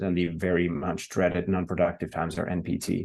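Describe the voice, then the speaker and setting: A man speaks at a fairly quick pace with a dark, mellow tone against a quiet background. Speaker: industry consultant presenter. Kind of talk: webinar presentation. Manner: fast.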